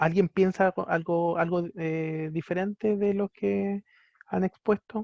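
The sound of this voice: At a slow pace, a man with a high voice and vocal fry keeps his intonation fairly even, in a dry, close sound with no echo.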